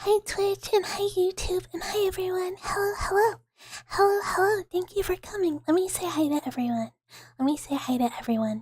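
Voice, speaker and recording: A woman does a squeaky, put-on character voice at an extremely high pitch. It makes very wide pitch swings at a moderate pace. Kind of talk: ASMR whispering. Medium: game stream. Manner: soft, giggly, rambling.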